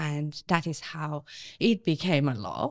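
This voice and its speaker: In a very clean recording with a silent background, a woman with a Persian accent speaks at a very deep, low pitch with ordinary pitch variation. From Iran. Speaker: activist and actress. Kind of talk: interview.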